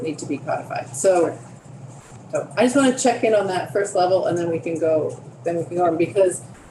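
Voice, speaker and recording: A woman speaks with a fairly low pitch over noticeable background noise. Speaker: committee chair. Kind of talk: committee meeting. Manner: fast.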